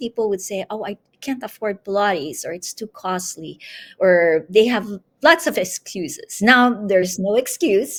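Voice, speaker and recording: Recorded with a dry, close sound and no echo, a woman with an ordinary speaking voice and a fairly high pitch talks at a fairly slow pace. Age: 60s. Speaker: Pilates instructor. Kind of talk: interview.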